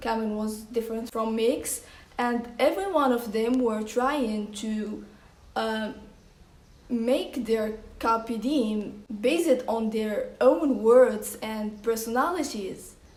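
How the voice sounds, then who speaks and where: A woman with a non-native accent speaks at a very slow pace and a fairly high pitch. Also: ordinary pitch variation. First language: non-English. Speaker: movie reviewer. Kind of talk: casual talk to camera.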